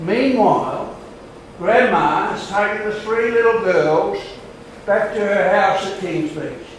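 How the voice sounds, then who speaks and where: Strong room echo and light background noise surround a man speaking at a high pitch and a fairly slow pace. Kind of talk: testimony. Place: hall. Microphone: camera far.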